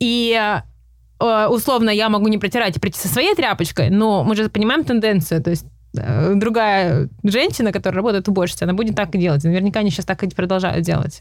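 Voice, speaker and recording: A medium-pitched woman at a fairly quick pace, with lively intonation and vocal fry. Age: 30s. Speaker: journalist and YouTuber. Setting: in person, studio in Los Angeles. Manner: halting, hesitant with fillers.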